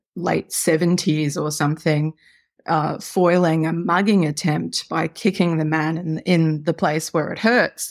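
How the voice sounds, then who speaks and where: On a very clean recording with a silent background, a woman with an Australian accent speaks fairly slowly in a very deep, low pitch with fairly even intonation. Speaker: novelist. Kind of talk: casual interview chat.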